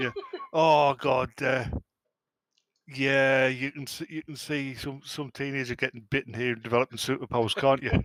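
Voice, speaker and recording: At a medium pitch, a man with an English accent speaks at a moderate pace in monotone, flat intonation, recorded dry and close with no echo. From England. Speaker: podcast co-host. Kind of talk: casual chat.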